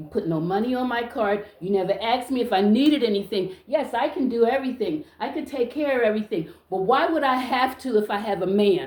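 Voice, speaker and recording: Loud and animated, a woman with a high pitch and lively intonation talks at a fairly quick pace with hardly any pauses. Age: 60s. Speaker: social media vlogger. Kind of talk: casual monologue to camera.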